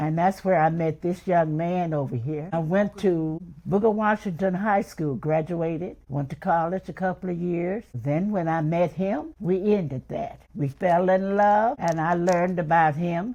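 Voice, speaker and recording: The voice has a dark, mellow tone and moves at a fairly slow pace. There are hardly any pauses. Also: woman, fairly low pitch for a woman, ordinary pitch variation. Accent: Memphis. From US South, Memphis, Tennessee. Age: 80s+. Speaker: interviewee recounting her life. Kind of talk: personal life story interview.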